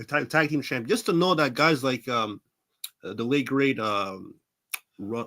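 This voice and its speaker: Very wide pitch swings mark this fairly slow speaker with an American accent, heard in a very clean recording with a silent background. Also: man. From Brooklyn, New York. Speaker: professional wrestler. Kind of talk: interview. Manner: halting.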